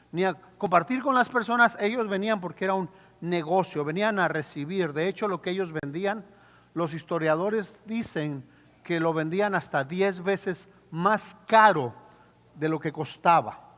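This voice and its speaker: A man at a high pitch, speaking fairly slowly with ordinary pitch variation. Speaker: pastor. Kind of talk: sermon.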